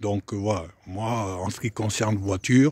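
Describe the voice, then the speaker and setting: Somewhat breathy and fairly low-pitched, a man speaks with fairly even intonation in a dry, close sound with no echo. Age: 60s. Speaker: private car seller. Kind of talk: casual video selling a car. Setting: in a car. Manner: hesitant, many fillers.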